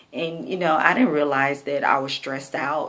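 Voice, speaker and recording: The tone is bright and sharp at a fairly slow pace, with audible room echo. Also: woman. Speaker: vlogger. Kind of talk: personal video diary. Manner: slightly slurred speech; casual, hesitant.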